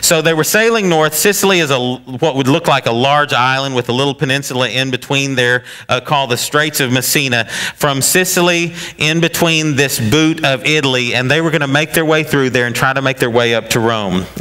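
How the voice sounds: A man at a medium pitch talks at a fairly quick pace with few pauses, in a bright, sharp tone. Pitch variation is ordinary, and faint background noise is present.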